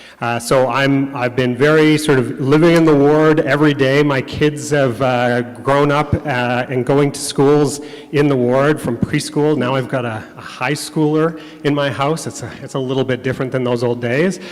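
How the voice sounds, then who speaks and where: A man with a Canadian accent speaks in a fairly high, flat monotone at a moderate pace. Noticeable background noise and audible room echo are present. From Calgary, Canada. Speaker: city council candidate. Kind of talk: candidate opening speech. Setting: church hall, stage with live audience. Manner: hesitant, many fillers.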